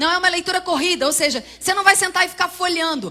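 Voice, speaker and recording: The voice is loud and projected outward. It belongs to a woman. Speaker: preacher and Bible teacher. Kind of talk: sermon. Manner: fast.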